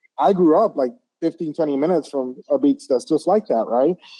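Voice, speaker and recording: A man speaks with a Puerto Rican accent at a fairly high pitch. The sound is dry and close, with no echo. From Puerto Rico. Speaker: interview host. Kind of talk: interview. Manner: fast.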